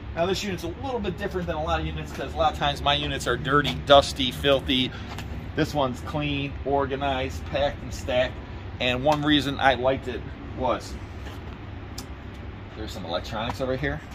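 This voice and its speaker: Noticeable noise runs behind a man who talks at a fairly quick pace. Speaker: auctioneer, reseller. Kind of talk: casual vlog chat. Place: street.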